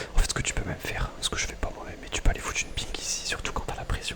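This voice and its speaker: Noticeable background noise surrounds a whispered voice. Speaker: gaming streamer. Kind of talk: whispered gameplay commentary.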